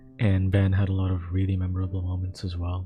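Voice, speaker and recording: A man's fairly low voice over music in the background. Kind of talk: casual talk to camera. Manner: casual, rambling.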